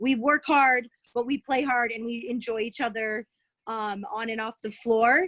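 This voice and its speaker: A loud woman at high pitch, fairly slow, with ordinary pitch variation and a dry, close sound with no echo. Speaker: college basketball head coach. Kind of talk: Q&A on video call. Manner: animated.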